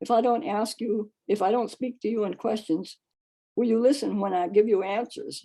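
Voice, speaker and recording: Her voice fairly high yet dark and mellow in tone, a woman speaks at a moderate pace with ordinary pitch variation. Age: 90s. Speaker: poet. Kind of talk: poetry reading.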